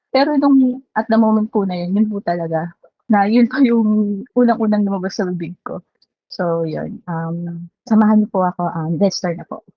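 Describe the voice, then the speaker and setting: A woman's shaky voice at a moderate pace has a medium pitch, ordinary pitch variation and big swings in loudness. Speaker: lay preacher. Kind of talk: sermon. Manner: halting.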